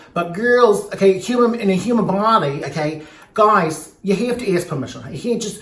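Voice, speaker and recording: A man's speech, with ordinary pitch variation, comes through noticeable background noise. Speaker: drag queen; comedian. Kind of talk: casual talk to camera. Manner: rambling, joking.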